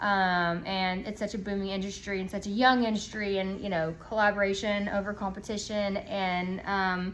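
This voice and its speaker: A woman's medium-pitched voice in a monotone, flat delivery with hardly any pauses and audible room echo. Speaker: aesthetics clinic owner. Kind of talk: casual educational talk. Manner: fast.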